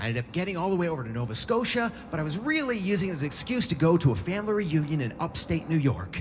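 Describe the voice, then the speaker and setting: With an American accent, a high-pitched man talks very fast with very wide pitch swings, over noticeable background noise and audible room echo. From US West Coast. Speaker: bicycle traveler and writer. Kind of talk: storytelling talk. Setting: stage with audience. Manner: animated.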